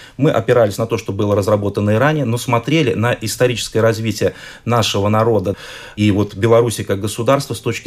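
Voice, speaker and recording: A very fast male voice of medium pitch with fairly even intonation. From Belarus. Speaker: historian, institute director. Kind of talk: radio interview. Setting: studio.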